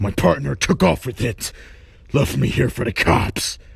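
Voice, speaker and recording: A man does a cartoonish character voice, growling at a fairly low pitch. He swings his pitch very widely and keeps a moderate pace. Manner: street slang, rough.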